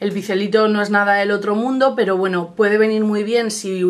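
A woman keeps her intonation fairly even while talking at a moderate speed. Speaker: beauty vlogger. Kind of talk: product review vlog. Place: home room. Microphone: webcam.

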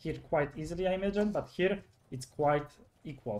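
The man's voice comes across as somewhat breathy. He keeps a moderate speed, and his pitch moves in an ordinary way. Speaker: esports commentator. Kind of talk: live sports commentary on a game match.

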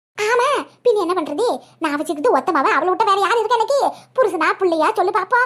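A woman speaks in a cartoonish character voice at a fairly quick pace, her pitch extremely high, her intonation lively and her loudness very even. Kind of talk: cartoon comedy voice acting. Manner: talkative, folksy.

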